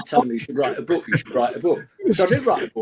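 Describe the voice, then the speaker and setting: A man talks in a Manchester accent with a fairly high pitch. His pitch swings very widely. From England, Manchester. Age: 70s. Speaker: music executive. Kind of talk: interview. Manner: animated.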